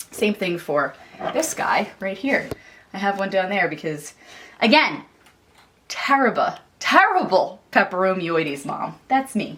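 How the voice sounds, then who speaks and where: Speaking slowly with long, frequent pauses, a woman with a Philadelphia accent lets her pitch swing very widely. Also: medium pitch for a woman. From Philadelphia area, US. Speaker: YouTuber, houseplant enthusiast. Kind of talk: home tour vlog. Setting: at home in apartment. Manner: casual, chatty.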